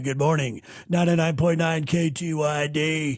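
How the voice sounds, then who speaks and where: A man does a put-on character voice at a fairly high pitch and a moderate pace. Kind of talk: polished broadcast delivery.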